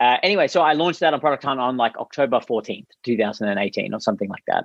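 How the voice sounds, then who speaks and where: A man with an Australian accent speaks in a dry, close sound with no echo. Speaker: startup founder and CEO. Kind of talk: interview.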